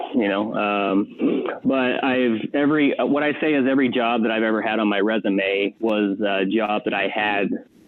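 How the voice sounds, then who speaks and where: At medium pitch and a moderate pace, a man speaks with ordinary pitch variation, very even loudness and hardly any pauses. Noticeable background noise sits behind him. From Arizona. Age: 30s. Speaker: dog trainer. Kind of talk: podcast interview. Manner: halting, many fillers and restarts.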